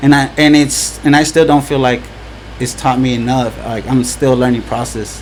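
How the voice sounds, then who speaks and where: Fairly even intonation carries this fairly slow talking. Noticeable background noise is audible throughout. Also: man. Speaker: event organizer. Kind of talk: casual chat. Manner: halting, repeats words.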